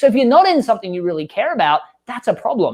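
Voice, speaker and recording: Over a quiet background, a man with an Australian accent talks very fast in an animated tone, his pitch swinging very widely. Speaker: growth marketing expert and author. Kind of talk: podcast interview.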